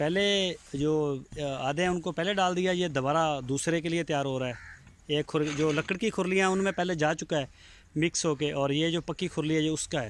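With a normal speaking voice, a man talks at a moderate pace, fairly high pitch and fairly even intonation. The sound is dry with no echo, and light background noise is present. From Pakistan, Punjab (Bahawalpur district); Punjab, Pakistan. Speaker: cattle farmer and vlogger. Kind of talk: walkthrough video tour with sales pitch. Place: farm. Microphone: phone near.

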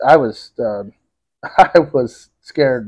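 A man at a medium pitch, with ordinary pitch variation and a quiet background. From Connecticut, US. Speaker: business owner. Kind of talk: interview, personal story. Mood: reflective, serious in places. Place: home room. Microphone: lapel.

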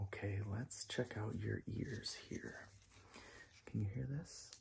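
Whispering at a very slow pace. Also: man. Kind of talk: soft-spoken ASMR roleplay. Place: home room. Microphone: phone near.

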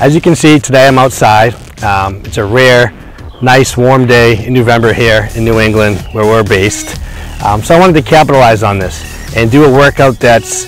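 A man speaks with ordinary pitch variation in a dry sound with no echo. Faint music plays in the background. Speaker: personal trainer. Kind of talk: tutorial. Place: open country. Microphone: lapel.

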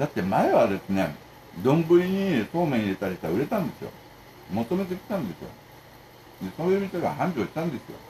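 A fairly high-pitched man speaks at a fairly quick pace with very wide pitch swings. He takes long, frequent pauses over light background noise. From Japan. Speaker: food vlogger. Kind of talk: casual eating video monologue. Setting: home. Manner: casual, rambling. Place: home room. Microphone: phone near.

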